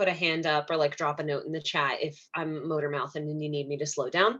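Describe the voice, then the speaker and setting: The background is quiet. A woman talks at a fairly quick pace. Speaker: therapist. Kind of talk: presentation. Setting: video call. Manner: fast.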